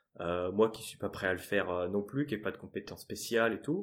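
A normal speaking voice from a man, fairly low in pitch with ordinary pitch variation, on a very clean recording with a silent background. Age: 30s. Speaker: sales engineer turning freelance ads consultant. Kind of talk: interview, casual chat.

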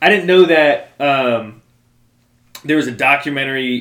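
A man speaks at a fairly slow pace in a normal speaking voice. His pitch variation is ordinary. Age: 20s. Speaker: podcast co-host. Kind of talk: casual chat.

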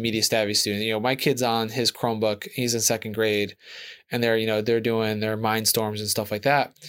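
A man with an American accent speaks in an unremarkable speaking voice at a medium pitch and a fairly quick pace. The recording is very clean, with a silent background. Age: 40s. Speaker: podcast co-host. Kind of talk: casual chat.

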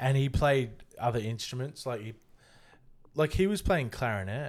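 A man of medium pitch speaks at a moderate pace with lively intonation. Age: 30s. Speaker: podcast host. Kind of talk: casual chat.

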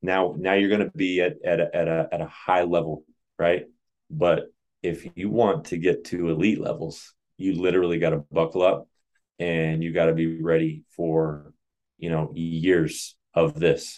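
A man's very deep, low voice at a fairly slow pace, with fairly even intonation. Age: 30s. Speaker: jump training coach and author. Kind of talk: casual interview chat.

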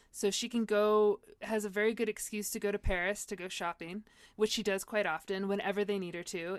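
In an ordinary speaking voice, a woman with an American accent talks at a medium pitch and a moderate pace with fairly even intonation, in a very clean recording with a silent background. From US West Coast (San Diego). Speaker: playwright. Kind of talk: casual chat.

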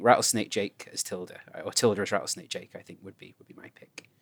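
A man with a British accent, vocal fry, and a very fast pace. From England. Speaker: podcast guest and voice actor. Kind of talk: casual chat. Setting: remote recording.

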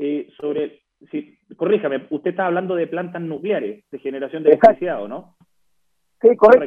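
This man's voice is high in pitch, with lively intonation. He talks at a fairly quick pace. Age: young. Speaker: political candidate. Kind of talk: radio interview.

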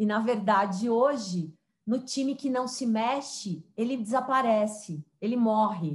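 A woman talks at a fairly slow pace in a fairly high pitch. Her voice is somewhat breathy, with ordinary pitch variation. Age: 40s. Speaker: diversity and digital transformation consultant. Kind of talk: interview.

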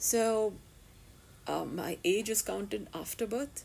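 A woman is speaking. Her pitch is fairly high. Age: 40s. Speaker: podcast host, self-styled thinker. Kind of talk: solo monologue podcast. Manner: halting, many fillers.

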